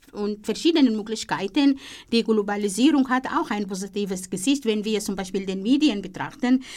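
A woman's fairly high voice at a moderate pace, in an Arabic accent. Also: ordinary pitch variation. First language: Arabic (speaking German). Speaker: radio host. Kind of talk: interview. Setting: studio.

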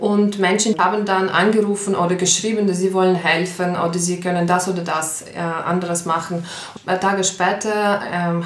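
Someone with a Ukrainian accent talks at a fairly quick pace in a monotone, flat intonation. Noticeable background noise and audible room echo fill the recording. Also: woman. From Ukraine. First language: Ukrainian (speaking German). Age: 30s. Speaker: pianist and refugee aid organizer. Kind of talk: interview. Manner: hesitant, with fillers.

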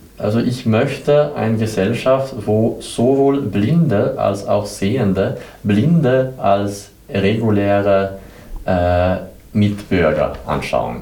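A man with a Swedish accent, fairly low in pitch, at a very slow pace with ordinary pitch variation and very even loudness, amid audible room echo and noticeable background noise. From southern Sweden. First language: Swedish (speaking German). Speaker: blind exhibition guide team leader. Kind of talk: interview. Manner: halting, many hesitations.

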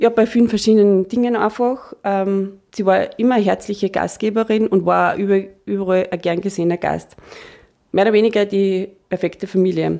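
A woman speaks at medium pitch in a dark, mellow tone. Her pace is moderate and her intonation fairly even. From Austria, Upper Austria. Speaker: financial planning expert. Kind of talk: radio interview.

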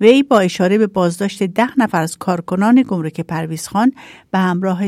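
An unremarkable speaking voice from a woman, medium in pitch with ordinary pitch variation, dry and close with no echo, on a very clean recording with a silent background. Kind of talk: news reading.

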